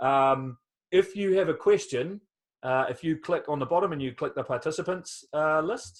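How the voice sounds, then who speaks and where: A man with a New Zealand accent at a moderate pace, ordinary pitch variation, and a quiet background. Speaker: skydiver and test jumper. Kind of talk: webinar Q&A. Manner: hesitant, many fillers.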